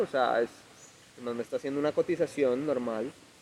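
Medium pitch from a man amid noticeable background noise. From Colombia, Ibagué (Tolima). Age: 20s. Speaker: music producer. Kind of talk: casual chat.

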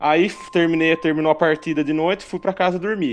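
A man with an unremarkable speaking voice talks at a fairly quick pace and a fairly high pitch, with ordinary pitch variation, against a quiet background. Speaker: podcast co-host. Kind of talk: casual chat.

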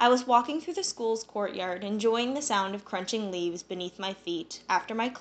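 Pitch variation here is ordinary. The voice is an unforced reading voice.

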